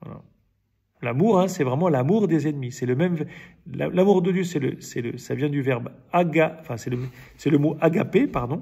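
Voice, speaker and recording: A somewhat breathy male voice with lively intonation. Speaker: Bible study leader. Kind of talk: Bible study teaching. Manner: halting, many repetitions and fillers.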